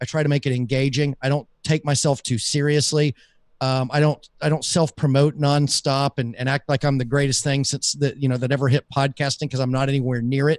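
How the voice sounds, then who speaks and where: A man with a Southern US accent and a fairly high pitch speaks with monotone, flat intonation and very even loudness. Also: fairly quick pace, dry, close sound with no echo. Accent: Southern US, mild. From US South. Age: 40s. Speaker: podcaster and business coach. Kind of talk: casual interview chat. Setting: live stream.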